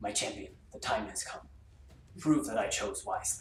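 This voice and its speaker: A man's put-on character voice with slight echo and clear background noise. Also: moderate pace. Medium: actual play. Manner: solemn.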